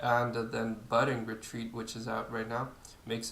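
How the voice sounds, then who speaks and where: A man with a non-native accent amid audible room echo. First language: not English. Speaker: video game youtuber. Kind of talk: gameplay tutorial. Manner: hesitant, many fillers.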